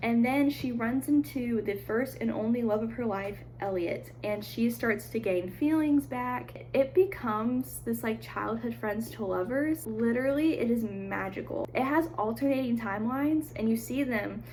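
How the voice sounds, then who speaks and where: Background noise can be clearly heard. Over it, a woman talks with hardly any pauses. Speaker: book vlogger. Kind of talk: casual chat. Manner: animated.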